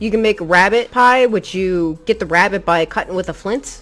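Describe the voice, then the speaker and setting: A woman talks at a moderate pace with ordinary pitch variation in an ordinary speaking voice. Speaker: gaming tutorial youtuber. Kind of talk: tutorial. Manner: casual.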